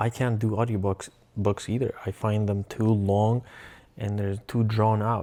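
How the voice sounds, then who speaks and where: Fairly low in pitch, a man speaks with a Russian accent at a fairly slow pace. His intonation stays monotone and flat. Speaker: vlogger. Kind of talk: casual vlog monologue. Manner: halting, self-correcting.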